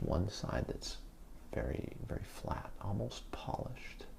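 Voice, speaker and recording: Noticeable background noise sits under a man speaking in a relaxed tone at a fairly slow pace. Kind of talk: ASMR show and tell, soft-spoken relaxation talk. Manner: soft-spoken, slow, relaxed.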